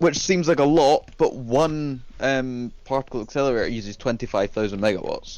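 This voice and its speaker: At a moderate pace and medium pitch, a man talks with hardly any pauses. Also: ordinary pitch variation. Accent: slight Scottish. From Scotland. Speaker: gamer showing his factory build. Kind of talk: casual chat.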